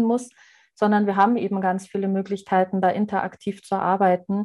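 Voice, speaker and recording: At a moderate pace, a voice with a dark, mellow tone and a slight Bavarian accent speaks in a flat monotone against a quiet background. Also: woman. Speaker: adult education trainer. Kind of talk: interview.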